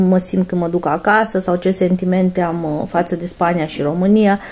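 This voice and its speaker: A woman speaks at a medium pitch with a dark, mellow tone. Her pace is moderate. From Romania. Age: 30s. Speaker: lifestyle vlogger; vlogger. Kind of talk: casual Q&A monologue to camera; casual vlog chat. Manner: halting, many fillers. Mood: calm, reflective. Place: home room. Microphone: phone near.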